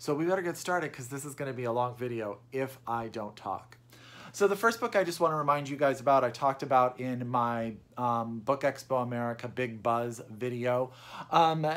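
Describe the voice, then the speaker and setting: A man talks at a fairly quick pace. His pitch moves in an ordinary way. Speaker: book vlogger. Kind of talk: casual vlog chat. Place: home room. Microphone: phone near.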